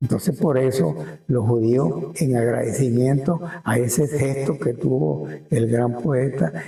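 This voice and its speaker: Speaking at a fairly slow pace, the man uses a medium pitch with very wide pitch swings, a dark, mellow tone, a somewhat breathy sound and very even loudness. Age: 80s+. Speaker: town chronicler. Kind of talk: interview answer. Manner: hesitant, repetitive.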